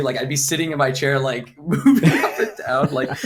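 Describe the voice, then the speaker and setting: A man with an American accent speaks at a fairly quick pace over noticeable background noise. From Florida, US. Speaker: content creator and streamer. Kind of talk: podcast interview. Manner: fast; energetic.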